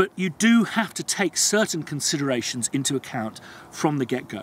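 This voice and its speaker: Light background noise sits behind a dry sound with no echo as a man speaks at a moderate pace with a fairly high pitch and very wide pitch swings. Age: 40s. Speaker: composer and video blogger. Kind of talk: vlog monologue. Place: open country.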